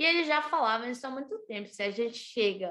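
A woman is speaking. Her tone is bright and sharp. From Brazil, Brasília. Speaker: environmental activist. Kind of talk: interview. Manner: casual, halting.

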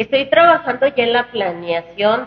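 Her delivery runs at a moderate pace. Behind the woman, background noise is noticeable. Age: 20s. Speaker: singer. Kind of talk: casual chat. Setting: restaurant.

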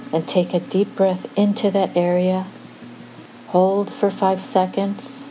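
Over noticeable background noise, a woman with a soothing, calm tone speaks very slowly at a medium pitch with ordinary pitch variation. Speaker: meditation guide. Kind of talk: guided meditation. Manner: slow, soothing, calm; gentle, measured pacing with pauses.

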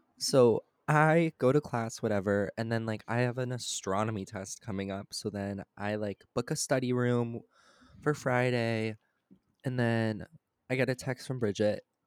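An ordinary speaking voice from a man at medium pitch, fairly even intonation and a moderate pace, in a very clean, silent recording with a dry, close sound and no echo. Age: young. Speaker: student podcast co-host. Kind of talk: casual chat.

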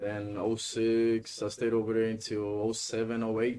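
Someone speaks with a Honduran accent in a relaxed tone and flat, monotone intonation. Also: man. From Honduras. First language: Spanish. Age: 20s. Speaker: guest. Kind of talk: casual chat, interview. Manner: relaxed, sometimes searching for words.

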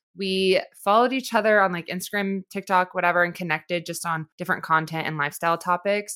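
A woman has a plain, everyday voice, fairly low in pitch with ordinary pitch variation, in a very clean recording with a silent background. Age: 20s. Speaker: podcast host. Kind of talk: casual interview chat.

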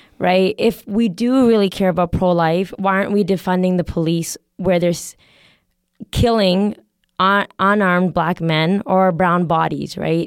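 An ordinary speaking voice with a Canadian accent moves at a fairly slow pace with fairly even intonation. The recording is very clean, with a silent background. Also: woman. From Canada, Calgary. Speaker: podcast guest. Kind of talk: casual chat.

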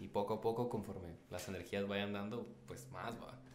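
There is noticeable background noise as a man talks at a moderate pace. His pitch is fairly low, with ordinary pitch variation. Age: 20s. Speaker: photographer and videographer. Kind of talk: casual chat.

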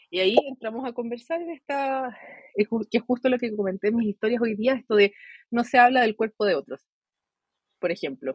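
In a Chilean accent, a woman with a fairly high pitch speaks at a moderate pace with lively intonation and long, frequent pauses, the sound dry and close with no echo. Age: 20s. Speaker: psychologist. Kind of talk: interview.

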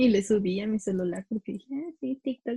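A woman speaks at a moderate pace in a medium pitch, her tone dark and mellow. Her voice is somewhat breathy, with a dry, close sound and no echo. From Mexico City. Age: 20s. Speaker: podcast co-host. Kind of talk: casual chat.

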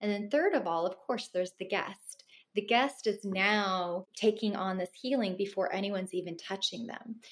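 Speaking with a West Coast American accent, a woman keeps a moderate pace and a medium pitch with ordinary pitch variation. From Los Angeles, Russian family. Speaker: wellness business owner. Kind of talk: interview.

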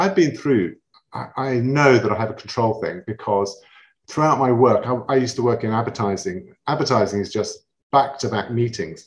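A man with a London accent talks in a somewhat breathy voice. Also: medium pitch for a man, lively intonation, moderate pace. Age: 50s. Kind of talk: casual chat.

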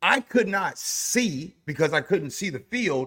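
This man's voice sits high in pitch. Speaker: sports podcast co-host. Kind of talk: casual chat. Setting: video call. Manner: animated.

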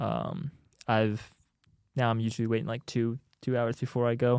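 A medium-pitched man with an American accent and ordinary pitch variation, on a very clean recording with a silent background. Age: 20s. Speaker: church maintenance worker. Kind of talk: casual chat.

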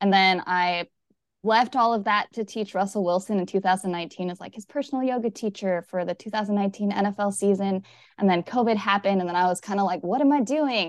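A woman at a very fast pace, with ordinary pitch variation. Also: medium pitch for a woman, dry, close sound with no echo, quiet background. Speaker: yoga instructor and movement specialist. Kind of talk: casual interview chat. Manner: fast talker.

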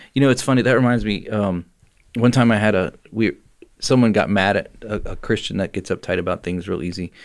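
A man speaks an ordinary speaking voice at a fairly quick pace, his pitch fairly low with ordinary variation. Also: very clean recording, silent background. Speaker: podcast host. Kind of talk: casual chat. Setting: studio. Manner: laughs often, joking.

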